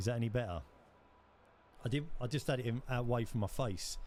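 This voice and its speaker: Talking with a London accent, a man goes at a very fast pace. His pitch shows ordinary variation. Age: 30s. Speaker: gaming streamer. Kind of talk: live gameplay commentary.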